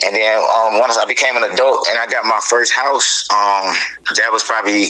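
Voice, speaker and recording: A man's voice holds a very even loudness against noticeable background noise. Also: moderate pace. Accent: American. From US South, Atlanta area, Georgia. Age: 30s. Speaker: dog breeder. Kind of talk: interview. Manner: hesitant, many fillers.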